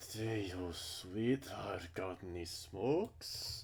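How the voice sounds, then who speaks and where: Growling and gravelly, a man in a put-on character voice talks very slowly at a fairly low pitch over clear background noise. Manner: snarling.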